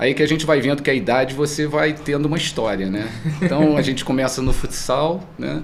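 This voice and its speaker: There is noticeable background noise and audible room echo. A man talks at medium pitch. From Brazil, Teresópolis (Rio de Janeiro state). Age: 60s. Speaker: sports club president and former athlete. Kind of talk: podcast interview. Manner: conversational, relaxed.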